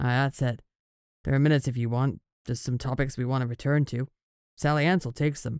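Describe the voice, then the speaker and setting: A rumbling, put-on character voice races along at a very fast pace, broken by long, frequent pauses. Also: man, medium pitch for a man. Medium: read story. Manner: growling, gruff.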